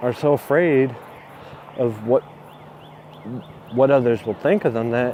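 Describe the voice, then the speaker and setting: Soft-spoken talk at a fairly slow pace, with long, frequent pauses and ordinary pitch variation. Noticeable background noise can be heard. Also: man, medium pitch for a man. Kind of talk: casual talk to camera (walking vlog). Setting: outdoors, street with background noise. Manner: soft-spoken, quiet.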